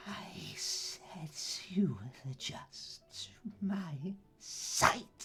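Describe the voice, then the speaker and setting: In a put-on character voice, someone whispers at a very slow pace with long, frequent pauses while music plays in the background. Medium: actual play. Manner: menacing, mocking.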